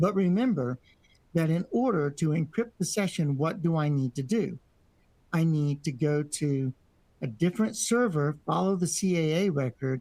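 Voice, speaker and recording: A man with an unremarkable speaking voice and fairly high pitch talks at a moderate pace, his intonation lively and his loudness very even. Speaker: networking instructor. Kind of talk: lecture.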